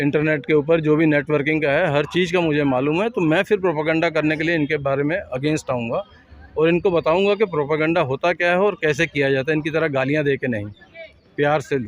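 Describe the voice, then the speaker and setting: A man talks at a moderate pace in a fairly high voice with ordinary pitch variation. It is a plain, everyday voice. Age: 50s. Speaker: air force veteran and activist. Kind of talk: interview.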